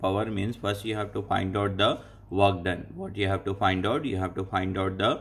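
The voice is somewhat breathy. Its intonation is monotone and flat. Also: man. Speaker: engineering teacher. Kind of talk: tutorial. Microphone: phone near.

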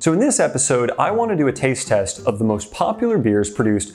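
Fairly quick speech from a man, with faint music in the background. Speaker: beer review host. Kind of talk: casual vlog chat. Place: studio. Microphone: lapel.

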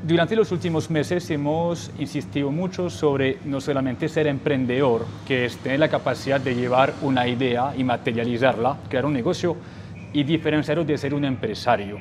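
Ordinary pitch variation runs through speech at a moderate pace over noticeable background noise. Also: man, fairly high pitch for a man. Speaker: podcast host. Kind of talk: interview. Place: home room. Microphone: lapel.

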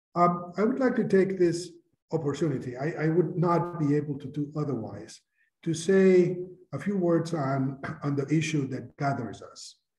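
Loudness swings widely in audible room echo, with ordinary pitch variation. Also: man, moderate pace. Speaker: conference host. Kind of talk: formal welcome speech. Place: office. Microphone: webcam.

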